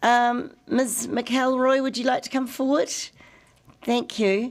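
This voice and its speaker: A very slow, high-pitched woman with a New Zealand accent. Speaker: committee chair. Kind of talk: formal meeting chairing.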